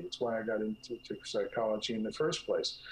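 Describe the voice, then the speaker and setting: Noticeable background noise behind a man with an American accent, at a fairly quick pace. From North Jersey. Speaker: clinical psychologist. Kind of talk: interview. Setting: call.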